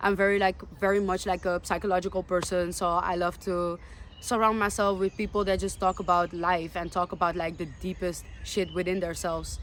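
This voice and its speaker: A woman speaks at a medium pitch with a Dutch accent. Her pace is fairly quick and her intonation is flat and monotone. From Netherlands, Amsterdam. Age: 20s. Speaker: vlogger. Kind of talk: personal vlog monologue.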